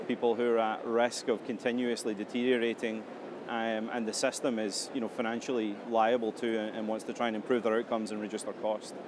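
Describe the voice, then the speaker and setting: The man talks at a fairly quick pace in a medium pitch, his intonation monotone and flat. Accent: Scottish. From Scotland. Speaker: health tech company CEO. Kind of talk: interview.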